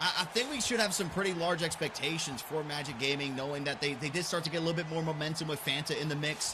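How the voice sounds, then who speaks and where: A man with a fairly high voice talks very fast, hardly pausing, and his pitch varies in an ordinary way. Room echo is audible and background noise is noticeable. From England, moved to US. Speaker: esports commentator. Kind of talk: live commentary.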